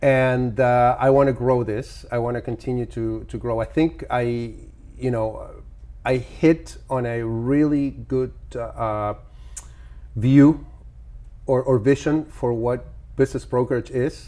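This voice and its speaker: Very slow speech comes from a man. Long pauses break it up frequently. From Argentina. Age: 50s. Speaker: business broker. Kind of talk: podcast interview. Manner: halting, frequent repetitions.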